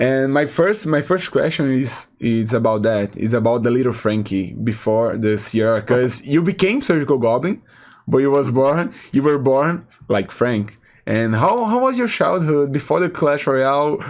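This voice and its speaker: A man with a Portuguese accent speaks at a medium pitch and a moderate pace, using lively intonation. His loudness is very even, and the background is quiet. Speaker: talk show host. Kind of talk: interview. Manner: halting.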